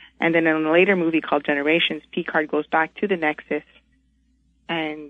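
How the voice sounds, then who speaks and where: This woman's pitch is very deep and low. She speaks at a moderate pace with monotone, flat intonation. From Montreal, Canada. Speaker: caller. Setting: phone call.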